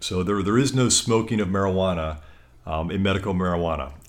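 With lively intonation and a fairly low pitch, a man speaks at a moderate pace. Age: 40s. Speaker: lawyer. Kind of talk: interview. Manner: halting, frequent repetitions.

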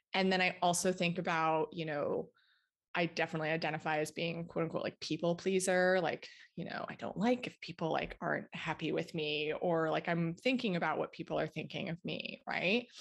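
A woman's plain, everyday voice, fairly low in pitch, with an American accent, at a fairly quick pace against a quiet background. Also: fairly even intonation. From United States. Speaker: dietitian and author. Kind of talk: interview.

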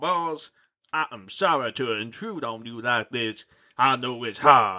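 Over a quiet background, the speaker reads aloud plainly with lively intonation.

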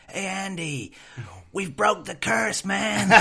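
A man puts on a character voice with a Californian accent, raspy and high in pitch. He speaks at a fairly slow pace with very wide pitch swings. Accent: American surfer-style.

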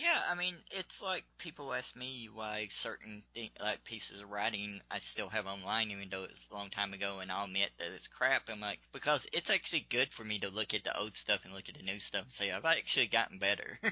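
With a Southern US accent, a man talks at a fairly quick pace and hardly any pauses. His fairly low pitch shows ordinary variation, while his loudness swings widely. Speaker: podcast interviewer. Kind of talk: casual interview chat. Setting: video or phone call.

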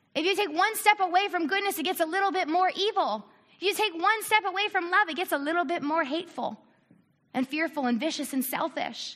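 A bright, sharp tone at a fairly quick pace, with lively intonation. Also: woman, extremely high pitch for a woman. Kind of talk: church talk. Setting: church with audience.

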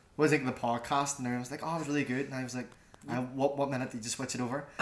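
With a Belfast accent, a man at a medium pitch talks at a very fast pace in a monotone, flat delivery over noticeable background noise. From Northern Ireland, West Belfast. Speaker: podcast co-host, media student. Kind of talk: casual chat.

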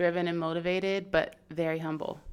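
A woman with an American accent speaks in a monotone, flat intonation on a very clean recording with a silent background. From US Pacific Northwest, Seattle area. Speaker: model and marketing professional. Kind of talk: casual chat.

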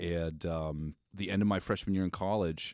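A man with an American accent speaks at a fairly slow pace in a very deep, low voice with fairly even intonation, on a very clean recording with a silent background. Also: dry, close sound with no echo. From Massachusetts. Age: 40s. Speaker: state legislator. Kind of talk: casual chat. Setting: office at the state house.

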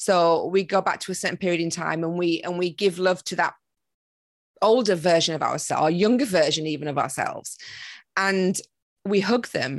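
A woman speaks at a moderate pace in a fairly low pitch. It's an unremarkable speaking voice with ordinary pitch variation. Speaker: meditation and manifestation coach. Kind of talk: podcast interview.

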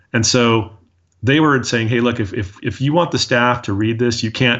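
A man with an American accent has an unremarkable speaking voice, medium in pitch, delivered at a moderate pace with fairly even intonation. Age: 40s. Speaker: dental marketing agency owner. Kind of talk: interview.

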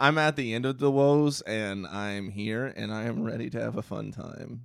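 With ordinary pitch variation, a normal speaking voice moves along at a moderate pace. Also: man, medium pitch for a man. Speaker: podcast co-host.

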